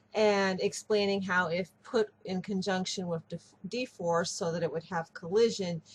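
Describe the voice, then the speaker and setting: A woman talks at a fairly slow pace with a medium pitch. Her voice is somewhat breathy and her intonation fairly even. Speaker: 3D artist, webcomic creator. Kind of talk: casual software tutorial talk.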